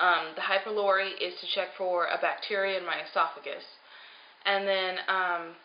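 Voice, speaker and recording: In a room with audible echo and noticeable background noise, a woman speaks at a moderate pace and medium pitch with monotone, flat intonation. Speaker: vlogger on weight loss surgery journey. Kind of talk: personal video diary.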